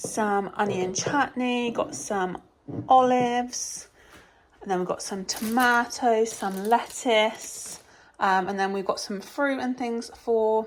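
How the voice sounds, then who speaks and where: Very slow speech from a woman, fairly high in pitch and with ordinary pitch variation. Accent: English. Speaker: family vlogger. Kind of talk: casual vlog talk to camera.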